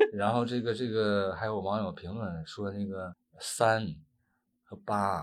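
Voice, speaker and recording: A man with a fairly low voice at a very slow pace. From Northeast China. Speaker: actor. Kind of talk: interview. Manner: halting.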